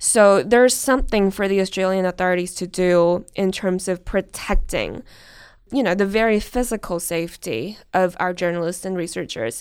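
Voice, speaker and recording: Speech at a moderate pace with ordinary pitch variation comes through on a very clean recording with a silent background. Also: woman, medium pitch for a woman. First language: Chinese. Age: 20s. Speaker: researcher and journalist. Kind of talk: interview.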